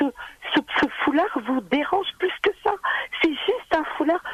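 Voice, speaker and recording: Noticeable background noise sits behind a woman with an extremely high pitch. She talks at a fairly slow pace with lively intonation. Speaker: caller, job seeker. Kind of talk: radio call-in. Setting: phone call.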